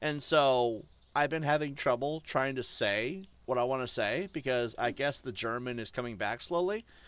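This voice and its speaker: With an American accent, a man talks in a normal speaking voice at a medium pitch, with ordinary pitch variation and a moderate pace. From US, New Hampshire. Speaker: gaming streamer. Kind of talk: live stream commentary. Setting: live stream. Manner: casual, rambling with fillers.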